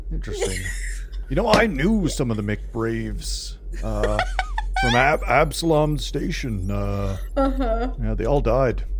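A man talks in a put-on character voice at a very slow pace. Loud background noise is present. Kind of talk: game master voicing npc. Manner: friendly, casual.

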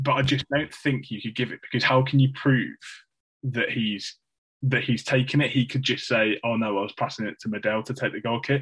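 Here a man speaks with an English Midlands accent at a medium pitch. His pace is fairly quick and his intonation fairly even. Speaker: football podcast co-host. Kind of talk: casual chat. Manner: monotone.

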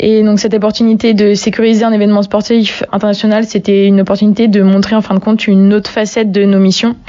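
A woman talks very fast at a medium pitch, with hardly any pauses. Her intonation is monotone and flat, and her loudness stays very even. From Brittany, France. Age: 20s. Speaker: army non-commissioned officer. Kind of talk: interview. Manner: hesitant, with frequent fillers.

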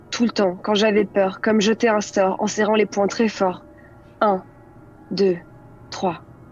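A woman speaks very slowly at a medium pitch. Her intonation stays monotone and flat, with long, frequent pauses. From France, near Grenoble. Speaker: storyteller. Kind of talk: storytelling; casual chat.

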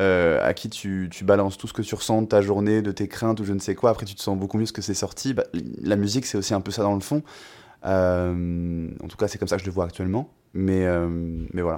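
Very clean recording with a silent background, a man speaking at a fairly quick pace with a fairly low pitch. He has a plain, everyday voice with ordinary pitch variation. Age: 20s. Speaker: singer-songwriter. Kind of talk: casual interview.

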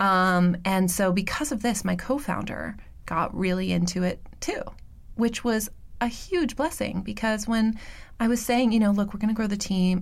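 With an American accent, a woman of medium pitch sounds somewhat breathy as she talks at a moderate pace with ordinary pitch variation. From New York City, Roosevelt Island. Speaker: biotech company CEO and co-founder. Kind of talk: interview. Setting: studio.

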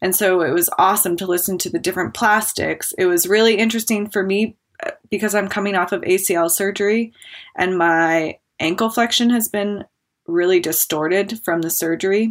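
A woman talks with an American accent in a normal speaking voice. Her pitch is medium, with ordinary pitch variation and a fairly quick pace. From Wyoming, US. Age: 30s. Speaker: professional skier. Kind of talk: casual chat. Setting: remote call.

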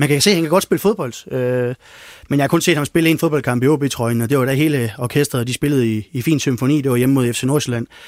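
A man's ordinary speaking voice, medium in pitch with ordinary pitch variation, in a dry, close recording free of echo. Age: 50s. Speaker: freelance sports journalist. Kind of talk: casual panel discussion.

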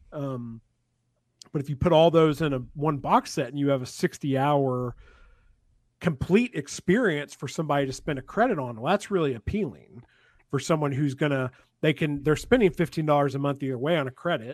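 Against a quiet background, a man with an ordinary speaking voice talks at a fairly high pitch with ordinary pitch variation in a dry, close sound with no echo. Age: 30s. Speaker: author. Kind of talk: casual chat.

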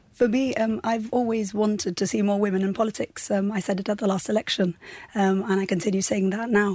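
Her tone dark and mellow, a woman speaks at a medium pitch and a fairly quick pace with fairly even intonation. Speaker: lawyer and political candidate. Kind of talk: radio interview. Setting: studio. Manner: hesitant, many fillers.

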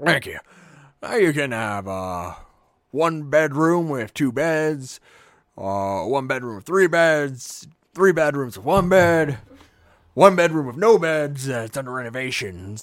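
A man's put-on character voice, fairly high in pitch, fairly slow, with long, frequent pauses. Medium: actual play. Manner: casual, laid-back, joking.

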